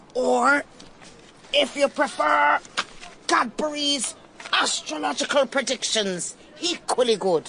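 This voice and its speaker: In a put-on character voice, the speaker delivers lines at a fairly slow pace and fairly high pitch, leaving long, frequent pauses. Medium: audio drama. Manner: urgent, fevered.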